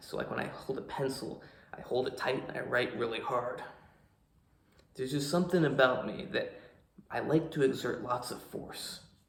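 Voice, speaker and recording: At a moderate pace and medium pitch, a man speaks with ordinary pitch variation and long, frequent pauses, with audible room echo around him. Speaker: fitness coach and vlogger. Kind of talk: casual vlog talk to camera. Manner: forceful, powerful speaking when not relaxed.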